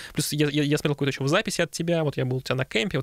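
Very fast and fairly high-pitched, a man talks with fairly even intonation. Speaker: podcast host, sound engineer. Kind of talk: interview. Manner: halting.

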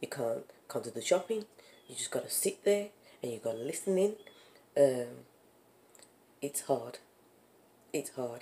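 With a Brummie accent, a woman speaks at a very deep, low pitch in a dark, mellow tone, her pitch swinging very widely and her loudness shifting greatly, broken by long, frequent pauses. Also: moderate pace. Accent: Brummie (Birmingham) English. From Birmingham, England. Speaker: vlogger, parent and small business owner; parent vlogger. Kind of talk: casual vlog chat. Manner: animated, laughing. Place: home room. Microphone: phone near.

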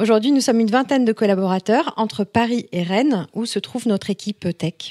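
A woman's fairly high, a normal speaking voice at a fairly quick pace, with ordinary pitch variation. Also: dry, close sound with no echo. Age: 40s. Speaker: entrepreneur, founder of a beauty review website. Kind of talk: podcast interview.

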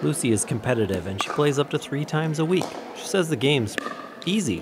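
Over noticeable background noise, a man talks at a very fast pace in a fairly high pitch with very wide pitch swings. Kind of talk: news feature narration.

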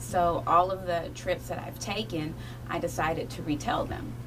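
A woman talking at a moderate pace over noticeable background noise. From Kentucky, Appalachian Mountains. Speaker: children's book author. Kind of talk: radio interview. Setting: radio studio. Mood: warm, enthusiastic. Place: studio.

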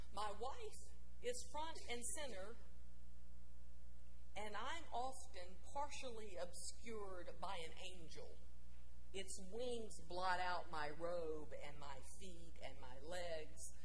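Speech moves at a very slow pace, broken by long, frequent pauses. Light background noise is present. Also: woman. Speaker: preacher. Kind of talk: sermon in first-person character voice. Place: church.

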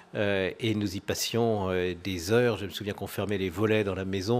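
A man speaks with a fairly low pitch. His pace is moderate and his intonation fairly even. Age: 50s. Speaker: local politician, head of departmental council. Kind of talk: live interview. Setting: live broadcast on location. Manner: hesitant, many filler sounds. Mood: warm, nostalgic in memories. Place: studio. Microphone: studio mic.

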